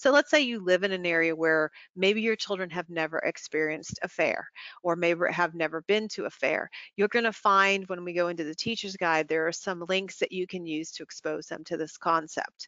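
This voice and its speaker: In a normal speaking voice, a woman talks at a moderate pace with a fairly low pitch and ordinary pitch variation. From central Pennsylvania. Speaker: early childhood curriculum company partner. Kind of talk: webinar presentation. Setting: online webinar.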